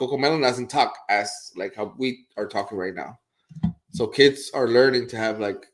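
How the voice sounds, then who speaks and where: A man with a Spanish accent talks at a moderate pace with ordinary pitch variation. His loudness rises and falls sharply. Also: medium pitch for a man. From Puerto Rico. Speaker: real estate agent, show co-host. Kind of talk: casual chat. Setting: live stream.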